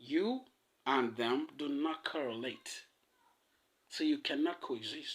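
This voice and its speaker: The speaker is male. His pitch rises and falls over a very wide range. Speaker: podcast host. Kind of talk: monologue. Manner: fast; casual, halting.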